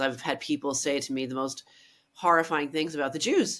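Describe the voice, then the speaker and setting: A woman with an American accent is heard on a very clean recording with a silent background. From Ireland and US, mixed upbringing. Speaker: writer and cultural critic. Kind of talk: interview conversation. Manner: halting, many restarts.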